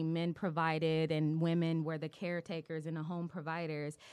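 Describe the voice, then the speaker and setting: Her voice is fairly low, and this woman speaks at a fairly quick pace with an American accent. The recording is very clean, with a silent background. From Los Angeles, US West Coast. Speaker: clinical psychologist. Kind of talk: casual interview chat.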